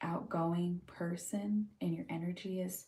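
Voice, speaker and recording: A soft-spoken woman with an American accent, a fairly low pitch, and a dark, mellow, somewhat breathy tone, at a very slow pace with fairly even intonation. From California, Huntington Beach. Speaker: livestreamer, mental health practitioner. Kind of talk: casual livestream chat.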